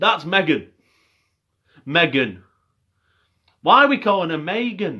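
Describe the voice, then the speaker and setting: With very wide pitch swings, a man talks at a high pitch and a fairly slow pace. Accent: Lancashire. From northern England, Bolton. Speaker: MMA commentator / YouTuber. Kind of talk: casual fight review monologue.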